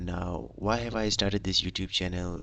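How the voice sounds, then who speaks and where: A man's very deep, low voice with a non-native accent, a fairly quick pace and ordinary pitch variation. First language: not English. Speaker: aspiring data analyst streamer. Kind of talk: live stream self-introduction. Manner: halting, many fillers and restarts.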